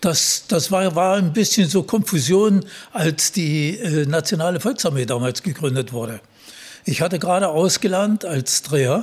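Lively intonation from a man pitched high, moving at a moderate pace. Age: 80s+. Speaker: retired airline captain. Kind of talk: interview.

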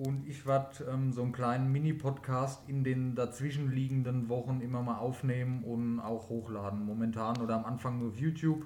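A somewhat breathy man at a moderate pace, with audible room echo. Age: 30s. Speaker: podcast host, gamer. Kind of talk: casual chat.

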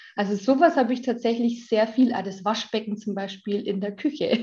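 A woman talks at a moderate pace. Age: 30s. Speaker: mother and social media influencer. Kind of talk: casual interview chat.

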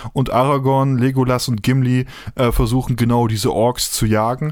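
Man at medium pitch, fairly quick pace and monotone, flat intonation. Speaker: podcast host. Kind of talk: casual chat. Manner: talkative.

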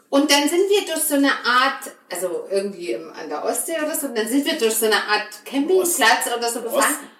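With a high pitch, very wide pitch swings and an animated tone, a woman talks at a fairly quick pace with hardly any pauses, amid noticeable background noise and audible room echo. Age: 30s. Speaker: podcast host. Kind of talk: casual chat.

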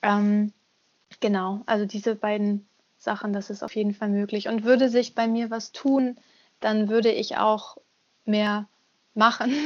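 Long, frequent pauses interrupt a fairly slow delivery with a monotone, flat intonation. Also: woman, fairly high pitch for a woman. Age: 30s. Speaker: singer and voice actor. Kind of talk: casual interview.

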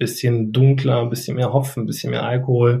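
Dark and mellow in tone, this man's somewhat breathy voice sits at a medium pitch and stays monotone and flat. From North Rhine-Westphalia, Germany. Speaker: etiquette academy head and business etiquette trainer. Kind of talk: casual interview chat.

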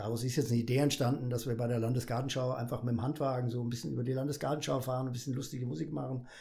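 Medium in pitch, a man's voice has a dark, mellow tone and is somewhat breathy. Audible room echo surrounds it. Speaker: carnival comedian. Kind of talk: casual interview. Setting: studio.

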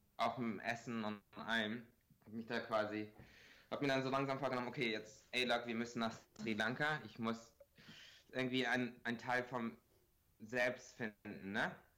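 At a moderate pace with long, frequent pauses, a man speaks in a bright, sharp tone at a medium pitch with flat, monotone intonation. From Bremen, northern Germany. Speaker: music producer and content creator. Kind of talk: casual chat. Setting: Skype call.

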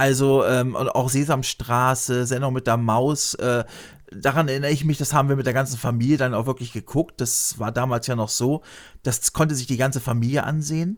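A man talks at a fairly quick pace and a medium pitch. His is a normal speaking voice with fairly even intonation. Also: very clean recording, silent background. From Lower Saxony, Germany. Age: 50s. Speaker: YouTuber. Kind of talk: casual interview.

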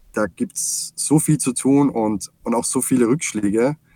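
In an Austrian accent, a man speaks in a dark, mellow tone with ordinary pitch variation, the sound dry and close with no echo. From Austria, Salzburg. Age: 40s. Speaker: software company CEO. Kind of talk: interview.

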